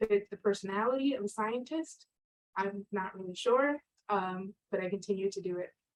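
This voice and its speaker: In a Spanish accent, a woman with a medium pitch and ordinary pitch variation speaks in a dry, close sound with no echo. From Connecticut, US. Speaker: scientist. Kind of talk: career talk with slides.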